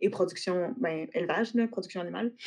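At a moderate pace, a woman speaks with fairly even intonation and a fairly low pitch. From Quebec City. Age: 30s. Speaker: agriculture teacher. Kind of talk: interview. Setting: online call.

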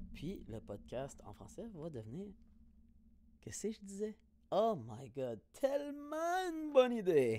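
Speaking very slowly in a Quebec accent, a man uses a high pitch and a dark, mellow tone. His pitch swings very widely, his loudness shifts greatly, and long pauses come often. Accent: Québécois French. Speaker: podcaster. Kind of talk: casual solo monologue. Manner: animated.

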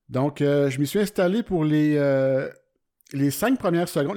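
Over a very clean recording with a silent background, a man speaks at a fairly slow pace. His voice is fairly high in pitch, with a dark, mellow tone and lively intonation. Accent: Quebec. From Quebec, Centre-du-Québec (Warwick). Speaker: podcast host, amateur photographer. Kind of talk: solo podcast monologue. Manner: casual, hesitant with many fillers.

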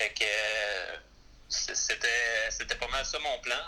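A man talks very slowly while noticeable noise runs in the background. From Quebec, Gaspé. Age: 30s. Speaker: former hockey player. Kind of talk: interview. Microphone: poor sound quality in interview.

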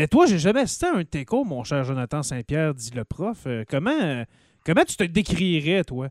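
A man's normal speaking voice at a fairly high pitch, lively intonation and a moderate pace, dry and close with no echo on a very clean recording against a silent background. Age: 30s. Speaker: podcast host. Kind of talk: casual chat.

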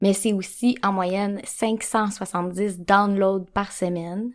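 Recorded very cleanly with a silent background, a woman with a Quebec accent speaks at a medium pitch with fairly even intonation. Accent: Québécois French. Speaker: podcast co-host, sexologist. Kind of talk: casual chat.

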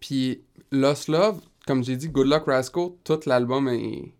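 A man of medium pitch at a fairly slow pace, in a very clean recording with a silent background. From Quebec, Rimouski. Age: 20s. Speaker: singer-songwriter. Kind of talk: casual interview.

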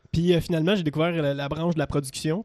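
A man talks with a Quebec accent at a fairly high pitch and ordinary pitch variation. The sound is dry and close, with no echo. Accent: Québécois French. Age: 20s. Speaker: radio producer and operator. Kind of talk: casual chat.

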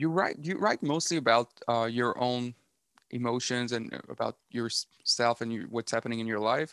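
On a very clean recording with a silent background and a dry, close sound with no echo, a man with a Quebec accent talks with ordinary pitch variation. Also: medium pitch for a man, moderate pace. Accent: French Canadian accent in English. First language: French. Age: 30s. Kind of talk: casual interview chat. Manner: halting, many fillers and repeats.

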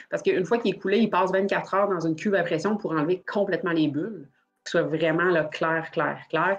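With a plain, everyday voice, a woman speaks at a fairly quick pace and fairly low pitch, her loudness very even and her intonation fairly even. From Quebec. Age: 30s. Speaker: dice maker. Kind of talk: casual chat.

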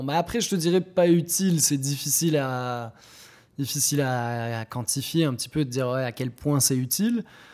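At a moderate pace, this is an ordinary speaking voice with ordinary pitch variation. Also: man. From Morocco. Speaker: coffee shop co-owner. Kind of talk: interview. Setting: in the shop.

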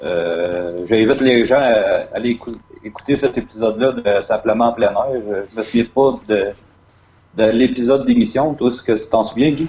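Speaking at a fairly slow pace in a Quebec accent, a man uses a medium pitch with ordinary pitch variation. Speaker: podcast host. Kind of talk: interview. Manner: halting.

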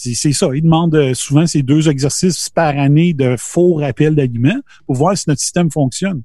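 A somewhat breathy, dark and mellow male voice, fairly high-pitched, with ordinary pitch variation at a moderate pace. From Quebec, Beauce region. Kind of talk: casual chat.

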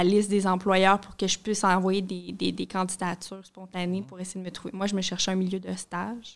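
A woman with a medium pitch speaks at a moderate pace in a monotone, flat intonation. The recording is very clean, with a silent background. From Montreal area, Quebec. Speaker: newcomer resident. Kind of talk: casual chat.

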